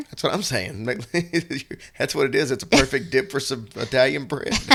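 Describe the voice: A man puts on a raspy character voice at a medium pitch, moving at a moderate pace with lively intonation.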